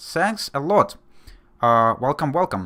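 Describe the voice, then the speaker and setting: Someone with a Russian accent speaks at a fairly slow pace. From Belarus. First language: Russian or Belarusian. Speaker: video game streamer. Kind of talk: live gameplay commentary. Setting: live stream. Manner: hesitant, many fillers.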